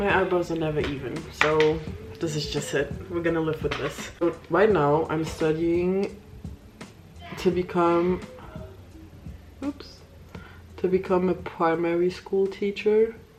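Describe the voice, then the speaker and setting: With music in the background, a woman with a non-native accent speaks at a fairly slow pace with ordinary pitch variation and long, frequent pauses. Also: fairly low pitch for a woman. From Luxembourg. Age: 20s. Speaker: beauty vlogger. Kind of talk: casual chat. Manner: casual, hesitant with fillers.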